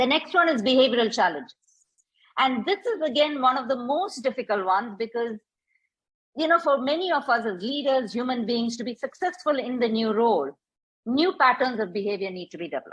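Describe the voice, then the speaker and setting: Her pitch swings very widely. The woman speaks at a high pitch. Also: fairly quick pace. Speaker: transitions coach and facilitator. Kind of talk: workshop talk. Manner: normal brisk pace.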